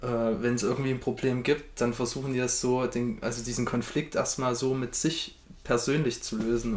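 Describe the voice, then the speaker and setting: The speech comes at a moderate pace over noticeable background noise. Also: man. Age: 20s. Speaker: podcast guest. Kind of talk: casual chat.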